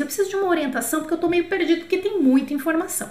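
Audible room echo surrounds a woman whose extremely high-pitched voice has an animated tone. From Brazil. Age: 40s. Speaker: French teacher. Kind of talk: online lesson. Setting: YouTube livestream.

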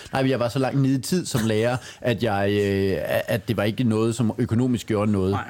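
Against noticeable background noise, a man speaks at a moderate pace in a medium pitch, his intonation fairly even and his loudness very even. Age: 40s. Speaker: stand-up comedian. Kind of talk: casual chat.

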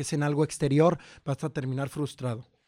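The man has a fairly high voice and talks at a fairly quick pace. The recording is very clean and dry, close with no echo, over a silent background. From Mexico, Jalisco highlands. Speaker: actor and writer. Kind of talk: casual chat.

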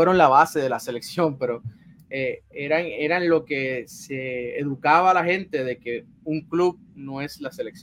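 A man talks at a fairly slow pace in a fairly high voice. His pitch varies in an ordinary way. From Puerto Rico, San Juan area. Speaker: sports journalist. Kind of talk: interview. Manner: halting, frequent repetitions.

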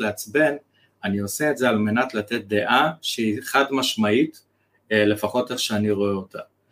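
A man speaks in a normal speaking voice at a moderate pace, with ordinary pitch variation. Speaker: copywriter and business mentor. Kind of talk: interview conversation.

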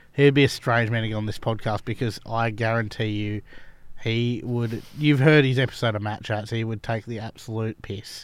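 On a very clean recording with a silent background, a man speaks at a medium pitch and moderate pace in a monotone, flat intonation. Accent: Australian. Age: 20s. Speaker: cricket club podcast host. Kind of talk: casual chat.

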